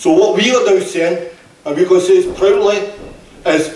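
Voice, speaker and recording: A man with a Scottish accent speaks at a high pitch. Audible room echo and noticeable background noise surround him. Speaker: trade union speaker. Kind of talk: political rally speech. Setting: hall with audience. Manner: impassioned.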